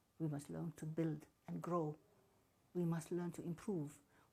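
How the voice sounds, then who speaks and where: Her voice is fairly low and somewhat breathy, with a dark, mellow tone, as this woman talks at a moderate pace with ordinary pitch variation. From Somaliland. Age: 80s+. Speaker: politician. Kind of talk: formal speech. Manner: formal.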